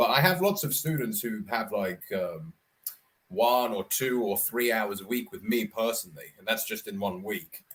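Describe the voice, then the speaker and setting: A man with a southern English accent at a medium pitch, moderate in pace, with very wide pitch swings and big swings in loudness. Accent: southern English received pronunciation. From Scotland, then London. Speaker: online English tutor. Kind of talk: casual chat.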